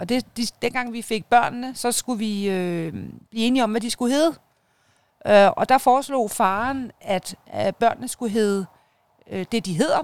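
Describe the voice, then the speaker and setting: A woman with a plain, everyday voice, fairly high-pitched with ordinary pitch variation, at a fairly slow pace, in a dry, close sound with no echo. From Denmark, North Zealand (Hørsholm). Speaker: media entrepreneur and mother. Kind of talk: interview, personal life story. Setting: outdoors in a garden.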